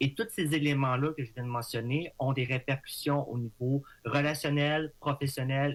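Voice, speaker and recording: On a very clean recording with a silent background, a man talks at a moderate pace with fairly even intonation. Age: 30s. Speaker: language disorder advocate. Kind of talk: radio interview. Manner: halting.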